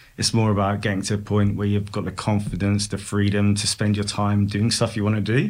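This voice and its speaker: A man with a British accent, fairly low in pitch, fairly quick, and fairly even in intonation. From UK. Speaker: head of product, podcast guest. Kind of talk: casual chat.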